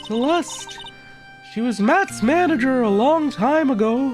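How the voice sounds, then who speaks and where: Putting on a character voice at an extremely high pitch, a man speaks fairly slowly over clear music in the background. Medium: game stream. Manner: guarded, defensive.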